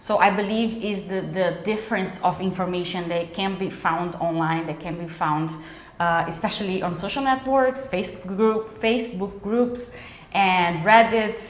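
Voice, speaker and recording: A medium-pitched woman with a Brazilian accent, ordinary pitch variation and a moderate pace, with noticeable background noise and audible room echo. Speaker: immigration lawyer. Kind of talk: interview. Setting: cafe.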